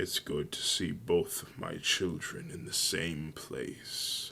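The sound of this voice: Putting on a character voice, a man speaks slowly with an extremely low pitch, vocal fry and a bright, sharp tone. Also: fairly even intonation.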